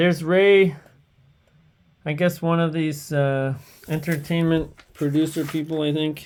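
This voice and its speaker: Someone speaks at a fairly slow pace with a slight French-Canadian accent. Long pauses come often. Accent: slight French-Canadian tinge. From Eastern Ontario, Canada (Hawkesbury). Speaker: streamer. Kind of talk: casual livestream commentary. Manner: rambling, hesitant.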